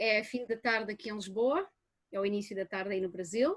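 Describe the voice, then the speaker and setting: A woman speaks in a fairly high pitch with a European Portuguese accent. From Portugal, rural. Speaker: anthropology professor. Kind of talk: academic lecture.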